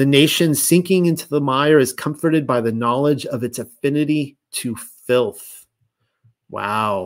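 In a plain, everyday voice, a man speaks fairly slowly at a fairly high pitch with ordinary pitch variation, on a very clean recording with a silent background. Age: 40s. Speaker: livestream host reading and discussing religious texts. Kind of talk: reading aloud with commentary. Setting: YouTube live stream.

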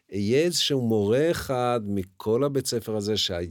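Lively intonation from a man, on a very clean recording against a silent background. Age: 60s. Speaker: teacher. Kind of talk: interview. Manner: halting.

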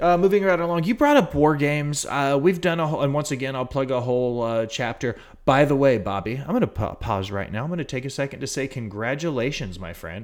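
With an unremarkable speaking voice, a man talks at a fairly quick pace in a fairly high pitch with lively intonation. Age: 30s. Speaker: wrestling podcast host. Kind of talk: casual chat.

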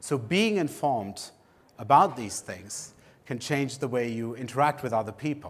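A man talks at a moderate pace with a German accent. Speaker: education researcher. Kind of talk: conference lecture.

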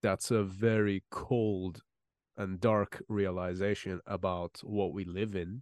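Against a quiet background, a man speaks very slowly in a monotone, flat intonation, the sound dry and close with no echo. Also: fairly low pitch for a man. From Iran. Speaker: metal musician and podcast host. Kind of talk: casual chat.

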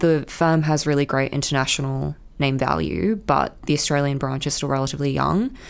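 A woman's very deep, low voice in a New Zealand accent at a fairly quick pace. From New Zealand, Auckland. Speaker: junior lawyer. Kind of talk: casual interview.

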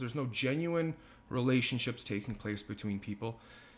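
Over a silent background in a very clean recording, a man of medium pitch talks at a fairly quick pace with very wide pitch swings. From Leduc, Alberta, Canada. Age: 20s. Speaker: electrician and part-time musician. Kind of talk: casual podcast interview. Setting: home.

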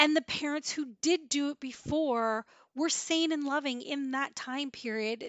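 Animated in tone, a woman talks at a fairly slow pace and high pitch with ordinary pitch variation. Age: 40s. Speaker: parenting podcast host. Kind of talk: casual monologue.

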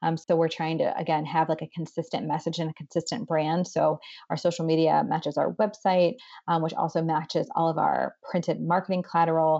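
A woman with a Midwestern American accent, fairly low-pitched, fairly even in intonation, at a fairly quick pace. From northeast Ohio, Boardman near Youngstown. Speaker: nonprofit president. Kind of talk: interview.

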